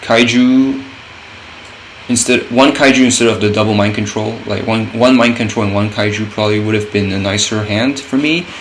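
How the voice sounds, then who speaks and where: A man's voice with fairly even intonation, amid noticeable background noise and audible room echo. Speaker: gaming content creator. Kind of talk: gameplay commentary. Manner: halting, many fillers and restarts.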